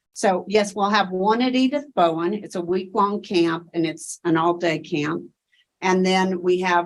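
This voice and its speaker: A woman speaks with a Tennessee accent at a moderate pace. Her pitch sits in the medium range, with ordinary variation. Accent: Tennessee Southern. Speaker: education researcher. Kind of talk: conference Q&A presentation.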